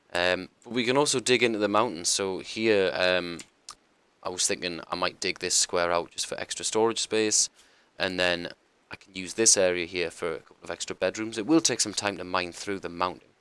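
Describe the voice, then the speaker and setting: With a bright, sharp tone and a very deep, low pitch, a man speaks fairly quickly with ordinary pitch variation and big swings in loudness. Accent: British. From UK. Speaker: gaming streamer. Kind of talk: gameplay tutorial commentary. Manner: casual, hesitant with many ums.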